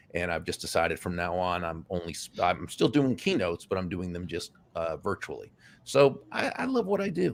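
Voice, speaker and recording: An ordinary speaking voice, a man talks at a fairly quick pace with ordinary pitch variation. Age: 60s. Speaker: author and speaker. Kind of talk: interview.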